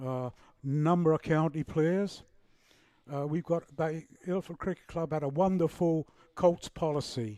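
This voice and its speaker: This man's voice sits fairly high in pitch, with a dark, mellow tone and fairly even intonation. He speaks at a fairly slow pace on a very clean recording with a silent background. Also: dry, close sound with no echo. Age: 70s. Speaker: cricket commentator. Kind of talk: live commentary.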